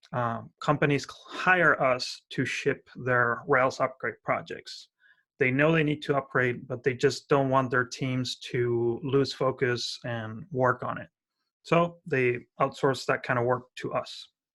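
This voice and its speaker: In an Argentine accent, a man with a bright, sharp tone and medium pitch speaks at a fairly slow pace with fairly even intonation. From Argentina. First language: Spanish. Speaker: software company founder, conference speaker. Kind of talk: tech talk. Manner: hesitant, many fillers.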